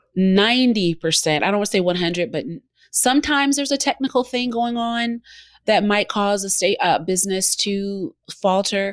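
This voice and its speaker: With a Southern US accent, a woman speaks at medium pitch and a moderate pace with lively intonation, in a very clean recording with a silent background. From US South, Georgia. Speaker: co-working space owner and former radio host. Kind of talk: interview.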